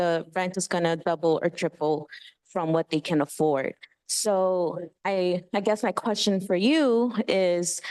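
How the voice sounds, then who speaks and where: With an American accent, a woman with an ordinary speaking voice talks at a fairly slow pace in a fairly low pitch with ordinary pitch variation, the sound dry and close with no echo. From Queens, New York City. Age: 30s. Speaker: community member at public meeting. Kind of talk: public comment at community meeting.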